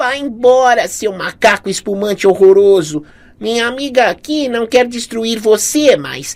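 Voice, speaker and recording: Shouting in a put-on character voice, a woman sounds shrill at a fairly high pitch, with lively intonation and a moderate pace. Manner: shouting, commanding.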